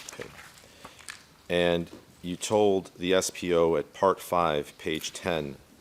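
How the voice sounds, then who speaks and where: A man with a very deep, low pitch speaks amid noticeable background noise. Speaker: trial lawyer questioning witness. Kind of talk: courtroom examination. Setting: courtroom.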